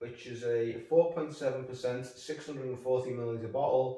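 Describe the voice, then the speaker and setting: A man's medium-pitched voice in a Liverpool accent, fairly even in intonation, with audible room echo. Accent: Scouse. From northern England, Liverpool. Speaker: beer reviewer. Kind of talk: casual review monologue.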